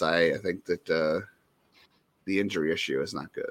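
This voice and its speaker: On a very clean recording with a silent background, a man speaks with a very deep pitch and a bright, sharp tone. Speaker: sports podcast co-host. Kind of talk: casual chat.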